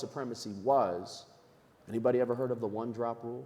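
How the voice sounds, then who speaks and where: A man with an American accent is speaking. His pace is very fast. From New York. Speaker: nonprofit leader, panelist. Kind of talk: panel discussion.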